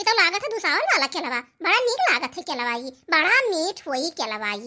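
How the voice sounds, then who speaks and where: A woman speaks at a fairly quick pace in an extremely high, squeaky pitch. It is a cartoonish character voice. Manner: exclamatory, rustic.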